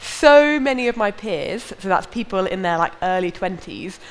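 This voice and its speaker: A woman with lively intonation over light background noise. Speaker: preacher. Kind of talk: sermon. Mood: lively, smiling, animated. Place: church. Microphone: headset.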